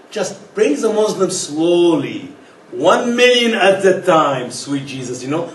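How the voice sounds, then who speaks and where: A man's high-pitched voice at a fairly slow pace, with very wide pitch swings, audible room echo and noticeable background noise. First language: not English. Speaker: speaker on religion. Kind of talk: lecture. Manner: animated.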